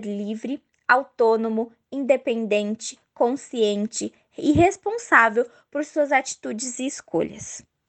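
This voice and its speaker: This is a woman speaking. Her pitch sits high. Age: 20s. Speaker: dance teacher. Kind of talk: prepared testimony.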